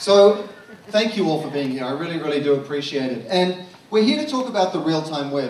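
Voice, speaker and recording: Over noticeable background noise and audible room echo, a man speaks with an Australian accent. His pitch is fairly high, his pace fairly quick and his intonation lively. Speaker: marketing consultant, conference speaker. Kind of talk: conference talk. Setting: stage with audience at comedy club.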